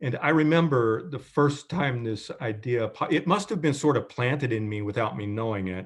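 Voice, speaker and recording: A man with an American accent speaks at medium pitch and a moderate pace, with lively intonation and hardly any pauses. He has a plain, everyday voice, and the background is quiet. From Kentucky / southern Indiana. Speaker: professor. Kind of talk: interview. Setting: video call.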